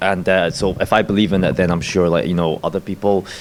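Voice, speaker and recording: Over noticeable background noise, a man speaks at a fairly low pitch with fairly even intonation. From Scotland. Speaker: filmmaker. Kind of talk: panel discussion. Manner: hesitant, many fillers.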